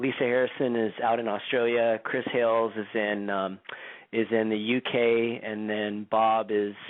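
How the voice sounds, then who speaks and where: In a Californian accent, a man talks at a fairly slow pace. His intonation is monotone and flat. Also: medium pitch for a man. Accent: Californian, described as boring. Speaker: radio show host and activist. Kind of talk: radio interview.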